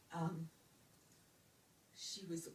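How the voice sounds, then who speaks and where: A woman with an American accent speaks fairly slowly in a fairly low, somewhat breathy voice. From Brooklyn, New York. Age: 70s. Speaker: retired speech pathologist. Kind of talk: interview answer.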